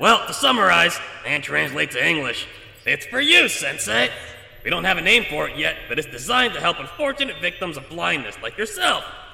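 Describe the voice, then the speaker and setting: A man does a put-on character voice, with slight echo and light background noise. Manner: fast, long-winded, nerdy, self-aware.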